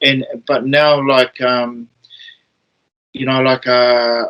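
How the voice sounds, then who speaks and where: A man's medium-pitched voice carries a monotone, flat intonation. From New Zealand, east coast (Māori). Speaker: former professional rugby player. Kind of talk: casual chat. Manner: halting, many repetitions.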